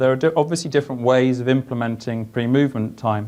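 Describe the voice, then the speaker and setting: A man with a strong British accent speaks at a very fast pace with ordinary pitch variation. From UK. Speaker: engineer; conference presenter. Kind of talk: conference presentation. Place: meeting room.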